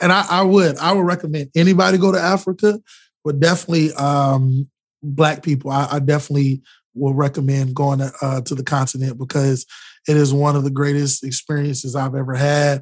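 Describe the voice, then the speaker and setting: In an American accent, a man with a fairly high pitch and a somewhat breathy voice talks at a fairly quick pace with ordinary pitch variation. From Florida. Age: young. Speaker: podcast host, travel journalist. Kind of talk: interview. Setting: video call. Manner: animated.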